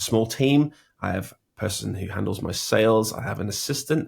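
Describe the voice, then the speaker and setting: Over a silent background on a very clean recording, a man with a British accent talks at a moderate pace in a fairly low pitch. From Britain. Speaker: logo designer and design educator. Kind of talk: interview. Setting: home studio.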